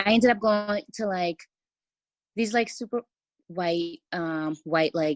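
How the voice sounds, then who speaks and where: A woman with an American accent speaks at a very slow pace in a medium pitch, her intonation ordinary, with long pauses coming often. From Los Angeles, California. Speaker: TV writer and family caregiver. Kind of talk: podcast interview. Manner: halting.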